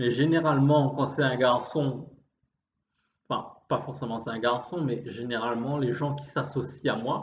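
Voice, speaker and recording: A somewhat breathy man at a fairly slow pace, with fairly even intonation and audible room echo. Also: medium pitch for a man. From Réunion. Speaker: vlogger. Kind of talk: improvised monologue. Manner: halting.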